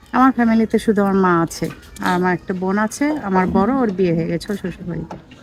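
A woman's medium-pitched voice comes through with noticeable background noise. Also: ordinary pitch variation. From Bangladesh, Naogaon (Rajshahi). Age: 30s. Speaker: widow seeking marriage. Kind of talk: interview.

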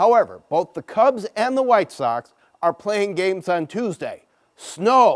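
Over a quiet background, a man talks at a fairly slow pace. His pitch swings are very wide. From Chicago. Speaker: TV meteorologist. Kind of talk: weather forecast. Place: studio.

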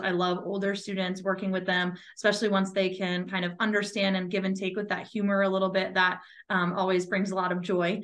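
In an American accent, a woman speaks at a fairly quick pace. Her medium-pitched voice has a monotone, flat intonation. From Massachusetts. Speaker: school administrator. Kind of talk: webinar presentation. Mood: warm, explanatory. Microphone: video call.

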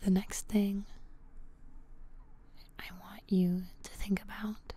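Soft-spoken, somewhat breathy delivery with a dark, mellow tone, monotone, flat intonation and a very slow pace in a dry sound with no echo. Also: woman, medium pitch for a woman. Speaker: ASMR creator. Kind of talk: ASMR guided grounding exercise. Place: home room. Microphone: studio mic.

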